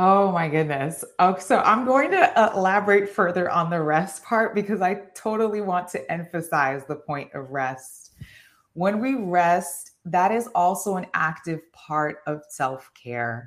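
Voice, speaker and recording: At a fairly slow pace, a woman with a New York accent speaks at medium pitch with lively intonation. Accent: New York American. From New York (Haitian American, born in Haiti). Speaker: occupational therapist and transformation coach. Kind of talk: interview.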